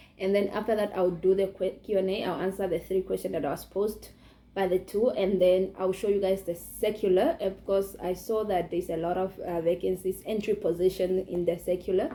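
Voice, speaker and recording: Speaking with a non-native accent, a woman has a dark, mellow tone and fairly even intonation. She moves at a fairly quick pace with hardly any pauses. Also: medium pitch for a woman. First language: not English. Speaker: YouTuber. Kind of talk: tutorial. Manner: halting.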